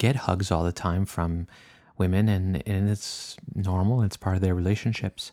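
The recording is very clean, with a silent background. The speaker goes at a moderate pace in a French Canadian accent. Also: man. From French Canada. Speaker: podcast host and naturist park owner. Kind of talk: casual monologue. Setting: home, drinking wine.

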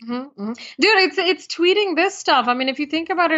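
In an American accent, a woman talks. Her tone is animated throughout. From United States, Indian heritage. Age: 20s. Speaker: entrepreneur and motivational speaker. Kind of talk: interview.

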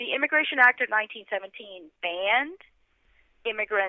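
With an American accent, a woman speaks in an unremarkable speaking voice at a fairly slow pace, her fairly high pitch carrying lively intonation. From US South, Atlanta suburbs. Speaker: author. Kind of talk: interview.

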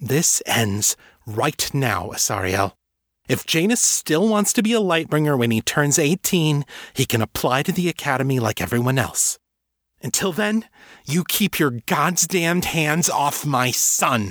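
In a put-on character voice, a man speaks at a fairly slow pace and a fairly high pitch with big pitch swings and a fairly bright tone, the sound dry and close with no echo on a very clean recording with a silent background.

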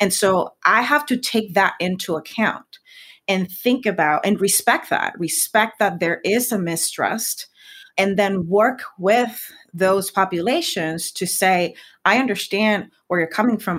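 In a very clean recording with a silent background, a woman with a Spanish accent speaks at a fairly slow pace, at medium pitch, with ordinary pitch variation. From Puerto Rico. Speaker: science communicator. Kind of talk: interview conversation. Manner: hesitant, repeats words.

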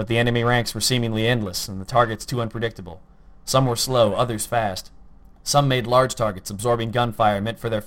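This is plain reading aloud, with intonation that stays fairly even.

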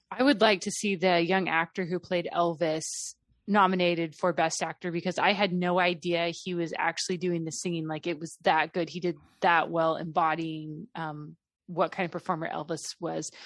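A woman with a normal speaking voice talks at a fairly low pitch and a moderate pace with fairly even intonation, against a quiet background. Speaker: movie reviewer. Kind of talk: casual chat.

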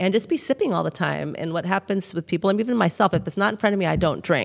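In a very clean recording with a silent background, a woman talks at a very fast pace with a fairly low pitch, vocal fry, and ordinary pitch variation. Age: 60s. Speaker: clinical nutritionist. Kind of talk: interview.

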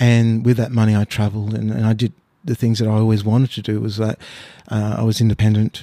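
With an Australian accent, a man talks at a very fast pace. His pitch is medium. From Australia (born in Mauritius, arrived age six). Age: 50s. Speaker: painter. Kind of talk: casual interview. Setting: artist's studio. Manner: halting, many fillers and repeats.

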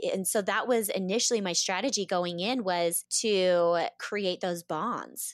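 With an American accent, a woman speaks at a fairly slow pace in an unremarkable speaking voice. Her medium pitch follows a fairly even intonation. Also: hardly any pauses, very clean recording, silent background. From US West, Boise, Idaho. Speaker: reality TV contestant and yoga instructor. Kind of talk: interview.

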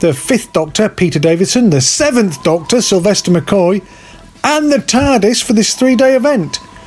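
Music plays in the background as a man with a British accent speaks at a moderate pace with very wide pitch swings. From Britain. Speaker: podcast host. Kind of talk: casual news roundup.

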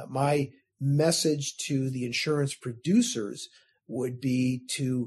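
This somewhat breathy voice has an American accent and a fairly even intonation. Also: man. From US Midwest, Chicago suburbs. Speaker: state insurance regulator. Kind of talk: interview. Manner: formal.

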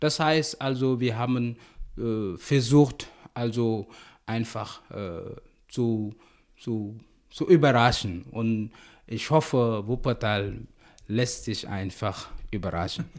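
Over a very clean recording with a silent background, a man speaks very slowly at a medium pitch with ordinary pitch variation and long, frequent pauses. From Senegal. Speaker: cultural association chair and festival organizer. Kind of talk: podcast interview. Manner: halting, with repetitions and fillers.

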